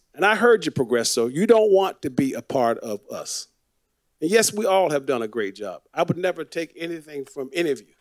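A man with an American accent talks at a fairly quick pace and a fairly high pitch. His pitch swings very widely and his loudness shifts a lot, over a quiet background. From Florida, Fort Lauderdale; Florida. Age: 60s. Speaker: city commissioner. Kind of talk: public meeting remarks. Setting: city commission meeting. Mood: impassioned, persuasive. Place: hall. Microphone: podium.

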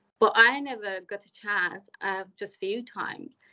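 Quiet surrounds this woman's voice. She talks at a fairly slow pace. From Iran. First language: Persian. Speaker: community worker and conference speaker; conference speaker. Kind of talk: conference talk. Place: home room. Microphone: video call.

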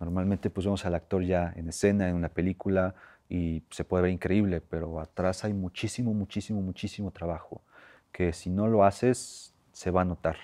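Against a quiet background, a man speaks in a very deep, low voice with a dark, mellow tone and fairly even intonation. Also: moderate pace. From Mexico, Puebla. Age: 20s. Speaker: actor. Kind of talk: interview. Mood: warm, grateful, reflective. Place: hall. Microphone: lapel.

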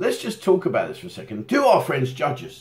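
Pitch swinging very widely, a man delivers his words at a fairly quick pace. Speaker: channel host. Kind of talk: casual vlog chat. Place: home room.

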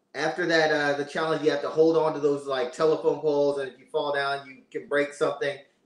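A man speaks with an American accent at a fairly high pitch. The background is quiet, with audible room echo. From Pennsylvania. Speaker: reality TV contestant; podcast guest. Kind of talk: casual chat. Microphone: video call.

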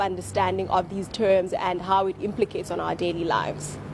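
A woman's medium-pitched voice at a fairly quick pace over noticeable background noise. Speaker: survey researcher. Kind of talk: news interview. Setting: remote link to TV studio.

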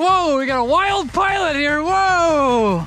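A man's extremely high, bright, sharp voice at a slow pace, lively intonation, faint background noise

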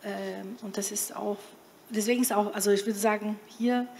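Over light background noise, a woman speaks at a moderate pace with a fairly high pitch. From Brazil. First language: Portuguese (speaking German). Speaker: panel discussant. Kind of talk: panel discussion. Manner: halting. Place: hall. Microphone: handheld.

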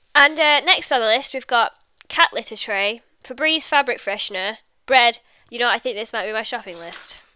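A woman with an English accent speaks at a high pitch with lively intonation and big swings in loudness. The recording is very clean with a silent background. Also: moderate pace. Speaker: YouTuber. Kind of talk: casual vlog talk to camera.

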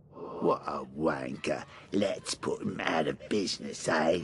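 In a strong British accent, a man does a raspy, put-on character voice at a fairly slow pace over clear background noise. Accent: thick British. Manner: put on to sound scary, tough.

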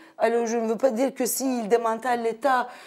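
A woman with a Turkish accent speaks at a fairly high pitch. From Turkey. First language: Turkish (speaking French). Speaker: sociologist and activist; guest. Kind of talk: debate. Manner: halting. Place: studio. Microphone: lapel.

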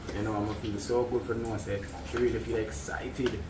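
Noticeable background noise sits behind a man speaking at a medium pitch and a moderate pace with lively intonation. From Jamaica. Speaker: content creator and driver; vlogger. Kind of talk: casual chat. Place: home room. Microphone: phone near.

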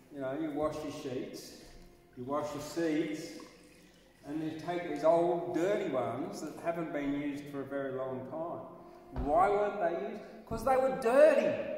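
A man speaks at a fairly slow pace with an Australian accent and ordinary pitch variation. Light background noise and audible room echo surround him. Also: fairly high pitch for a man. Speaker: poet. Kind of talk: casual monologue. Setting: outdoors at night. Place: hall.

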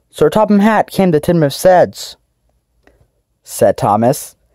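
At a moderate pace, the voice carries a gentle, dramatic tone. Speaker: voice actor recording narrator lines for a fan redub. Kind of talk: scripted storybook narration of a children's train story, read aloud with dramatic pacing. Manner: gentle, storybook-style narration that heightens suspense at the dramatic moments; clear, measured reading with pauses where the character dialogue was cut out.

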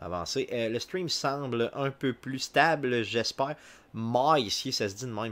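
A man's voice with ordinary pitch variation. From Quebec. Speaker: video game streamer. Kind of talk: live gameplay commentary; casual live stream commentary. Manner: halting, frequent filler words. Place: home room.

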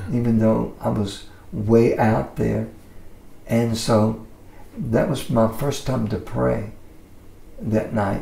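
In a Southern US accent, a man talks at a very slow pace with long, frequent pauses. Audible room echo surrounds his voice. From Mississippi. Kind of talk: interview answer. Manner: casual. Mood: relaxed, warm storytelling. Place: studio.

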